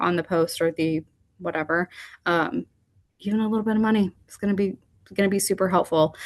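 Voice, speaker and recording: A woman with a fairly low pitch and ordinary pitch variation talks at a fairly quick pace against a quiet background. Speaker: digital marketing coordinator, webinar speaker. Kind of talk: webinar presentation. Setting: online webinar. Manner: fast; casual, rambling.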